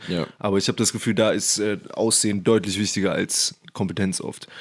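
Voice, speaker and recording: A normal speaking voice at a fairly quick pace, in a very clean recording with a silent background. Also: man. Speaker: podcast host, computer science student. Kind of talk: casual chat. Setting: podcast recording.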